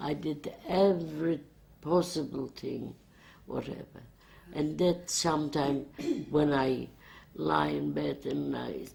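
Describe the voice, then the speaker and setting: Speaking at a very slow pace, a woman leaves long, frequent pauses. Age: 80s+. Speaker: Holocaust survivor. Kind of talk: oral history interview. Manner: halting.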